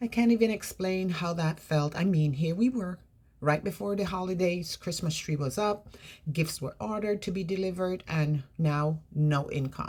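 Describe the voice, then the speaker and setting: Her voice is fairly low for a woman and somewhat breathy. She keeps a moderate pace with ordinary pitch variation. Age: 60s. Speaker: vlogger. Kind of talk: personal vlog. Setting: bedroom.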